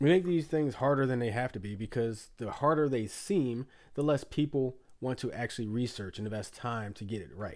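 In a very clean recording with a silent background, an American man with a medium pitch talks at a fairly quick pace in an animated tone, his pitch varying in an ordinary way. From United States. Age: 40s. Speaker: podcast host. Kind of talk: casual chat.

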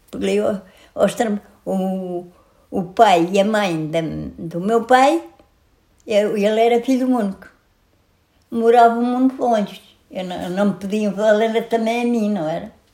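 A woman with a dark, mellow tone and fairly high pitch speaks at a fairly slow pace, with ordinary pitch variation and long, frequent pauses. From Portugal, Santarém district. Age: 80s+. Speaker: centenarian interviewee. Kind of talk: life story interview.

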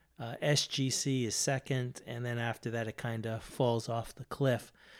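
A man with an American accent at a fairly slow pace, on a very clean recording with a silent background. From Boston, US. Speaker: podcast host. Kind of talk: casual solo talk.

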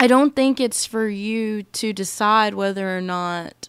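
A woman with an American accent has a plain, everyday voice at medium pitch. She speaks at a fairly slow pace. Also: very clean recording, silent background. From United States. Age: 20s. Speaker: podcast host. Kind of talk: casual monologue.

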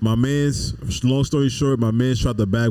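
Here a man speaks at a moderate pace in an American accent. His tone is dark and mellow. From New York City, the Bronx. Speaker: podcast co-host. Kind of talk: casual chat.

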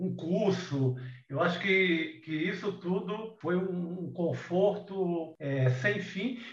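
A man speaks at a very slow pace in a high pitch with ordinary variation. Noticeable background noise and audible room echo fill the recording. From Ceará, Brazilian Northeast (Cariri). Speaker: writer and journalist. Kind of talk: casual interview. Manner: halting, many repetitions.

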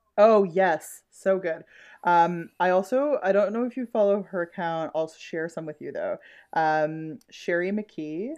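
A woman with a Canadian accent and a plain, everyday voice speaks fairly slowly at a medium pitch, with ordinary pitch variation and big swings in loudness against a quiet background. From Ontario, Canada. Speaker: podcast co-host. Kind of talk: casual chat, rant. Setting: video call.

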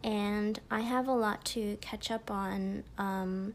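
A woman's voice, fairly high in pitch. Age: 20s. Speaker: podcast host. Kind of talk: personal monologue. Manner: animated.

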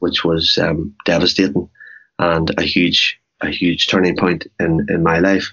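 In a Northern Irish accent, a man speaks at a moderate pace. His very deep, low voice stays monotone and flat. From Northern Ireland, Cookstown. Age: 40s. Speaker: businessman and Ironman triathlete with MS. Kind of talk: interview.

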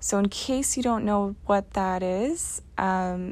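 A woman with a Canadian accent speaks at a very slow pace. The recording is very clean, with a silent background. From rural Ontario, Canada. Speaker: podcast host. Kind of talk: personal monologue.

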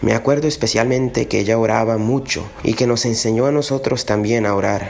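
Noticeable background noise behind speech at a moderate pace. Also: man. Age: 30s. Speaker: electrical engineer, grandson testimony. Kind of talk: prepared testimony.

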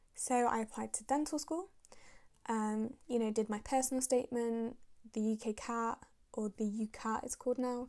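A woman with a Manchester accent speaks at a moderate pace. Her tone is dark and mellow, with fairly even intonation. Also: fairly high pitch for a woman. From northern England, Manchester. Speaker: dental student and podcast host. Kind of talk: casual monologue.

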